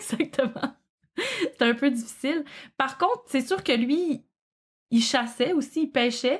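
At a very slow pace with long, frequent pauses, a woman with a Quebec accent speaks at a high pitch with ordinary variation and very even loudness, on a very clean recording with a silent background. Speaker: podcast co-host and true crime fan. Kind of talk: casual storytelling chat on a livestream. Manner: tries to speak slowly.

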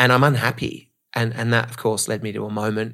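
The speech comes at a very fast pace in an Australian accent. The voice shows vocal fry and ordinary pitch variation. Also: man. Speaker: motivational speaker. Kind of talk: casual interview. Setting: in-person studio.

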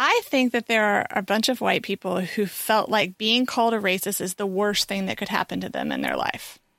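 In a very clean recording with a silent background and a dry, close sound with no echo, a woman of medium pitch speaks at a fairly quick pace with hardly any pauses, vocal fry, and fairly even intonation. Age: 40s. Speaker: podcast co-host. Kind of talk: casual chat.

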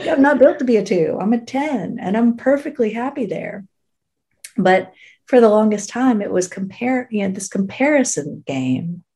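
A woman speaks at a moderate pace with fairly high pitch and lively intonation. Her tone is dark, mellow and somewhat breathy. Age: 50s. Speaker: fashion stylist, boutique owner. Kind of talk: casual chat.

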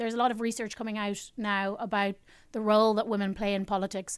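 In a very clean recording with a silent background, a woman talks with an Irish accent. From Ireland. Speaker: political commentator and activist. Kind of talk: casual chat.

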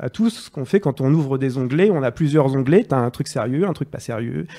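The voice has a dark, mellow tone, ordinary pitch variation and a very fast pace. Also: man. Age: 30s. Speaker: journalist. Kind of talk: casual chat.

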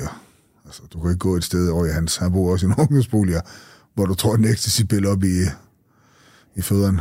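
The pace is very fast and the tone dark and mellow. Pitch variation is ordinary. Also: man, very clean recording, silent background. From North Jutland, Denmark (Skagen). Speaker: former drug dealer. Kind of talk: interview testimony.

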